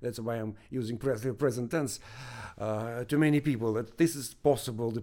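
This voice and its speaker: Medium-pitched male speech in a Russian accent, dark and mellow in tone, fairly quick and fairly even in intonation, on a very clean recording with a silent background. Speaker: research professor. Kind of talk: interview. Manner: halting.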